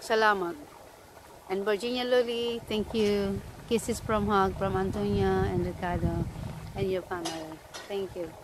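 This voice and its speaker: A woman at a fairly slow pace, the sound dry with no echo, over noticeable background noise. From Philippines. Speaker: vlogger. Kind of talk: casual vlog. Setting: outdoors. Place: garden. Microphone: phone near.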